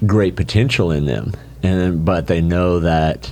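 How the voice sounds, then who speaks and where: Over noticeable background noise, a man speaks at a fairly slow pace in a very deep, low voice. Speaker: leadership coach. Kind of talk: podcast interview. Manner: forceful; halting, many fillers.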